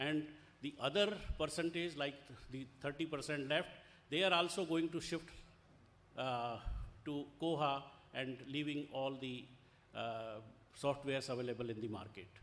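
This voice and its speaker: With an Indian accent, a man speaks at a moderate pace and a fairly high pitch, using ordinary pitch variation and long, frequent pauses. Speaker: conference chair, academic librarian. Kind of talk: welcome speech. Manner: halting, many fillers.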